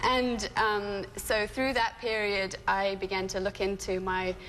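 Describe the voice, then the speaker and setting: A woman's medium-pitched voice with a British accent and fairly even intonation. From England (moved from California at eight). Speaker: doula and childbirth educator. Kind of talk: TV interview.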